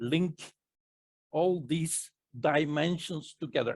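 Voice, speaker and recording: In a non-native accent, a man speaks at a very slow pace in a high pitch, recorded with a dry, close sound and no echo. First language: not English. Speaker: spiritual teacher / psychic presenter. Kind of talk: casual Q&A discussion. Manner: halting, with fillers and self-corrections.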